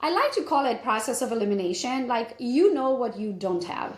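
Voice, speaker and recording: A woman with a Romanian accent at a moderate pace, her pitch swinging very widely, with audible room echo. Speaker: realtor and business coach. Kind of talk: interview.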